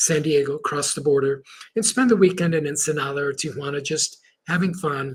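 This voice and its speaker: A man with a Spanish accent speaks at a moderate pace, his fairly high-pitched voice somewhat breathy. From Chile, moved to US at seven. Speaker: motivational speaker and Marine veteran. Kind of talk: podcast interview storytelling. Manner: animated.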